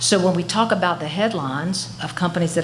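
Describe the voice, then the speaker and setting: A woman with a fairly low pitch and ordinary pitch variation speaks at a moderate pace. Audible room echo and noticeable background noise surround her. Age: 60s. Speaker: former insurance regulator, consultant. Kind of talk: public testimony at a hearing. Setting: public hearing. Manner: impassioned, pleading.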